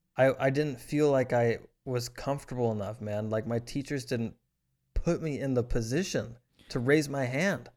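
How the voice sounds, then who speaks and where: In a very clean recording with a silent background, a man with an American accent speaks in an unremarkable speaking voice at medium pitch, moderate pace, and ordinary pitch variation. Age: 20s. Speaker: podcast co-host. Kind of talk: casual chat.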